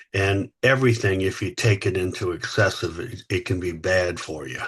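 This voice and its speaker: The voice has ordinary pitch variation over a quiet background. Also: man. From US South, Louisiana. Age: 60s. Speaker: company founder and CEO. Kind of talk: podcast interview. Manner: halting, many fillers.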